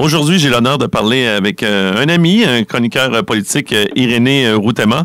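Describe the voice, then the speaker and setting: In a very clean recording with a silent background, a man speaks at a moderate pace and medium pitch with lively intonation, very even loudness, and hardly any pauses. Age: 40s. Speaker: radio host. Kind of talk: interview. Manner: halting.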